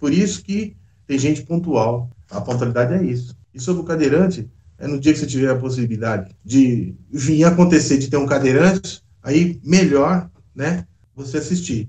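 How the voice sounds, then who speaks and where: A man speaks in a somewhat breathy voice with a dark, mellow tone and lively intonation. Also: fairly high pitch for a man, moderate pace. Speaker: bus driver. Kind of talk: interview answer. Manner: casual, conversational.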